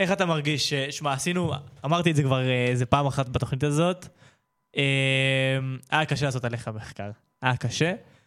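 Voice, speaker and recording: Fairly quick speech with ordinary pitch variation and long, frequent pauses. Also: man, fairly high pitch for a man. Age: young. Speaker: youth radio host. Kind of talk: casual interview.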